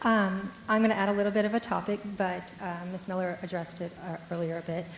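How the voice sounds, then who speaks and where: With audible room echo, a woman talks at a fairly quick pace in a monotone, flat intonation. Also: medium pitch for a woman. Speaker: audience member, parent. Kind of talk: audience question. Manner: loud.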